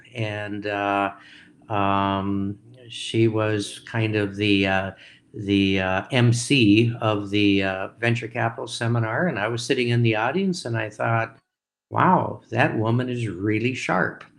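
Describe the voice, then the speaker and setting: In an Upper Midwest accent, a man speaks at a very slow pace with a fairly low pitch and fairly even intonation on a very clean recording with a silent background. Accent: Upper Midwest (Minnesota). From rural Minnesota. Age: 70s. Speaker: entrepreneur and investor. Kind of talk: interview. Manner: halting.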